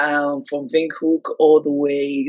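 A woman with a London accent speaks at a very deep, low pitch. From London, UK (born in Nigeria). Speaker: travel magazine co-founder. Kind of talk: interview.

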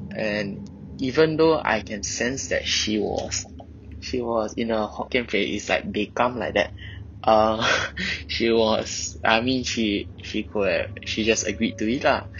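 A man with a Singaporean accent, medium in pitch with ordinary variation, at a fairly slow pace. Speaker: confessor telling a hotel ghost experience. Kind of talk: ghost story telling. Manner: hesitant, halting, with filler words.

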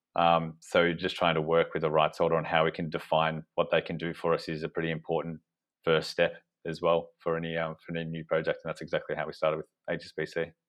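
A man speaks with an Australian accent. He talks at a very fast pace. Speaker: business co-founder. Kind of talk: casual interview chat.

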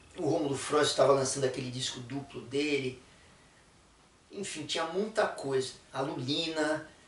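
Over noticeable background noise and audible room echo, a man with a fairly high pitch speaks at a moderate pace with ordinary pitch variation and long, frequent pauses. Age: 60s. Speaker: musician. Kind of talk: casual chat. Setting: studio.

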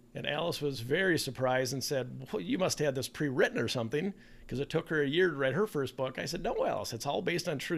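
Talking at a very fast pace with hardly any pauses, this speaker has an Upper Midwest accent, an animated tone and lively intonation. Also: man. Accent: Upper Midwest American. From Minnesota, US (Bloomington). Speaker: children's author and podcast host. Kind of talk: casual interview chat.

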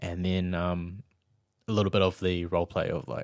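Very deep and low, a man's voice moves at a moderate pace on a very clean recording with a silent background. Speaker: podcast co-host and event manager. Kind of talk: casual chat.

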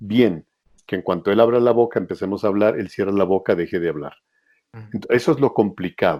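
A man speaks with ordinary pitch variation. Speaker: voice actor. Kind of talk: interview.

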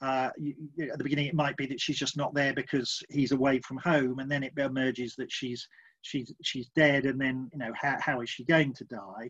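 Talking fairly quickly, a man keeps his medium-pitched voice at a fairly even intonation. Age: 50s. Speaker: novelist. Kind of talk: interview. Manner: halting.

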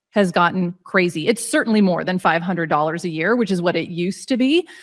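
A woman speaks in a plain, everyday voice at medium pitch with ordinary pitch variation. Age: 40s. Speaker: points travel coach, former physician. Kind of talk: casual interview.

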